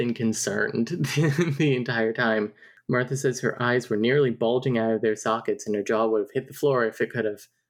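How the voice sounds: Pitch varies in an ordinary way here. The voice is a natural reading voice.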